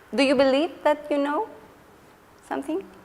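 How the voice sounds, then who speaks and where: Over noticeable background noise, a woman with a Spanish accent talks at a moderate pace in a high voice. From Chile. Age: 40s. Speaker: education researcher and lecturer. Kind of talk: lecture Q&A discussion. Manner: animated.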